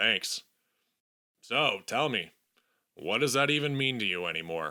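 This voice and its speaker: Putting on a raspy character voice, a man swings his pitch very widely around a medium register. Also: moderate pace. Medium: read story. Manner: weary, mutters.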